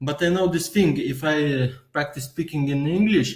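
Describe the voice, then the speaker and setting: A somewhat breathy man with a Lithuanian accent and ordinary pitch variation. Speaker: vlogger. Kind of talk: casual monologue. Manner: halting.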